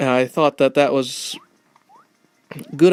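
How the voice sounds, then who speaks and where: A man with a fairly high pitch speaks at a very slow pace. The sound is dry and close, with no echo. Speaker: gaming YouTuber. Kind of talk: let's play commentary. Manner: halting; trying to sound lighter and happier.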